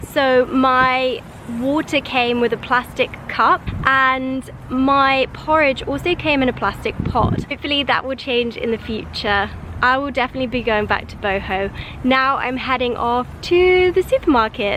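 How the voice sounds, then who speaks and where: With a London accent, a woman speaks at a moderate pace in a high pitch with ordinary pitch variation, and noticeable background noise is present. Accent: British English (London). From London, England. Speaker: lifestyle vlogger. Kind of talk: casual talk to camera.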